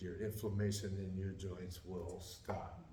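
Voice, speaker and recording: A man with a very deep, low pitch, a dark, mellow tone and a somewhat breathy quality, at a fairly slow pace, with audible room echo. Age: 60s. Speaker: weight loss group member. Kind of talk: testimony. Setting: church group meeting.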